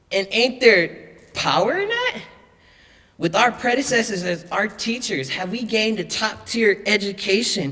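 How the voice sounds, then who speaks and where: Noticeable background noise sits behind speech delivered fairly slowly. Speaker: spoken word artist. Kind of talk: spoken word poetry performance.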